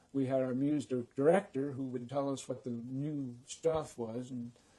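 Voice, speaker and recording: At a moderate pace, a man speaks in a medium pitch with a dark, mellow tone and fairly even intonation. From San Francisco. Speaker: retired radio personality. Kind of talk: interview. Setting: radio studio.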